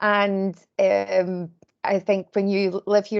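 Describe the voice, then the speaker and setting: A woman of medium pitch speaks with a Glaswegian accent in a flat monotone. The background is quiet. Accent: Glaswegian Scottish. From Scotland, Glasgow. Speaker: volunteer recruitment lead. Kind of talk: presentation at online community meeting. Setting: video call.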